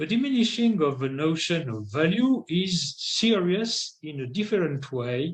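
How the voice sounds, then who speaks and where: A man with a French accent talks fairly slowly, his pitch swinging very widely. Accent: non-native English, French. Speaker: philosophy scholar. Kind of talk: lecture read aloud. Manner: halting; formal.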